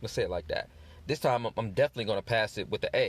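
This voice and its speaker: A man's medium-pitched voice with vocal fry and very wide pitch swings, on a very clean recording with a silent background. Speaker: podcast host, relationship advisor. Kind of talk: advice podcast monologue. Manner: fast; casual, conversational.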